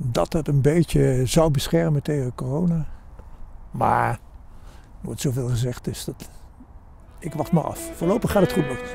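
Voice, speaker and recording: A man at a fairly slow pace with lively intonation and long, frequent pauses, music in the background. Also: fairly high pitch for a man. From Limburg, Netherlands. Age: 70s. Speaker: radio presenter. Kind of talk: interview answer.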